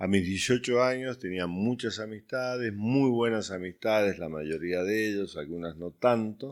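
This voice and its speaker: A man speaks with lively intonation at a fairly slow pace in an unremarkable speaking voice, on a very clean recording with a silent background. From Uruguay. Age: 60s. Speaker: youth ministry director. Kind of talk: testimony.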